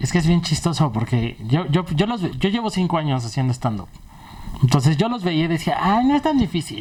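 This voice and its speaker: Over noticeable background noise, a man's fairly high voice makes very wide pitch swings. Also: fairly quick pace. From Mexico, Puebla. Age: 30s. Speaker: stand-up comedian. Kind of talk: casual interview chat.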